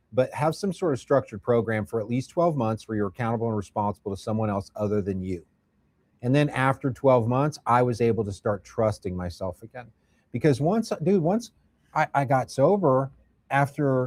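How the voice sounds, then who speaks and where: Talking at a fairly quick pace, a man with an American accent has a medium pitch and lively intonation. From Indiana, US Midwest. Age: 50s. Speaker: addiction recovery worker. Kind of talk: podcast interview. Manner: casual, animated.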